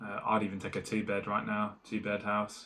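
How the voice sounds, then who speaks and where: His pitch sits fairly low. The man talks with an English accent. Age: 30s. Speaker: small business owner vlogger. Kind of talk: casual vlog monologue. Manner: halting, many fillers.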